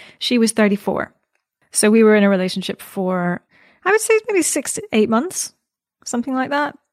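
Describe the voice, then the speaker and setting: A woman with a Scottish accent talks at a fairly high pitch with lively intonation and long, frequent pauses, the sound dry and close with no echo. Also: moderate pace, very clean recording, silent background. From Scotland. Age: 30s. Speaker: podcast interview guest. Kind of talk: casual interview conversation.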